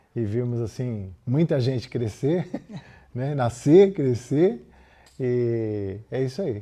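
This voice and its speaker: The voice has a dark, mellow tone and moves at a very slow pace. The background is quiet. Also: man, medium pitch for a man. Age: 70s. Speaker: retired pediatrician and former pastor. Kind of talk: documentary interview.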